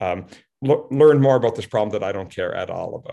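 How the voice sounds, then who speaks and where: This is an ordinary speaking voice with ordinary pitch variation, moving at a fairly quick pace. The background is quiet. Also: man. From Cape Breton, Nova Scotia, Canada. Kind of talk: interview.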